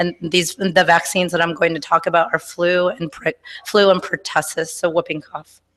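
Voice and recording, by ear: This woman talks at a fairly quick pace, her pitch fairly low and her tone fairly bright.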